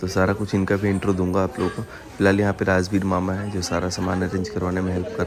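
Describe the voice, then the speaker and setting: Over crowd noise and audible room echo, the speech comes in a flat monotone. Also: man. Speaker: vlogger. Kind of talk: casual vlog narration.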